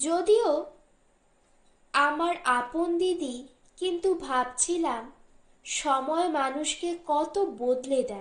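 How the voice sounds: A woman speaks at a very slow pace in a high pitch with ordinary pitch variation. Room echo is audible.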